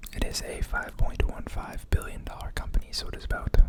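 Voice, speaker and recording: Whispering, a man speaks over noticeable background noise. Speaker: ASMR stock market video creator. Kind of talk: casual talk to camera, finance analysis. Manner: whispered, soft-spoken.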